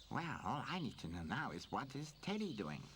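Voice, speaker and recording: A cartoonish character voice with a low-to-middle pitch rattles along at a fairly quick pace over clear background noise. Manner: cheerful, playful.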